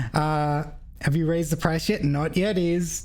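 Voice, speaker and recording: A woman's very deep, low voice with an Australian accent, amid audible room echo and noticeable background noise. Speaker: vtuber streamer. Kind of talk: casual game stream chat.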